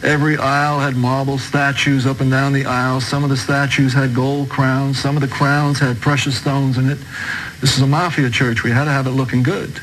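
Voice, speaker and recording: Amid audible room echo and noticeable background noise, a man with an American accent talks fairly fast at a fairly high pitch. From New York, Brooklyn. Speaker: converted ex-mobster giving testimony. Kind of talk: testimony.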